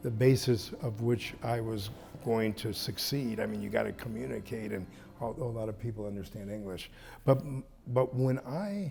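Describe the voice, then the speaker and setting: In an American accent, a man talks at a moderate pace and medium pitch, his somewhat breathy voice dark and mellow in tone with ordinary pitch variation. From San Francisco, US. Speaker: luxury resort owner. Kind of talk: interview conversation. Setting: resort.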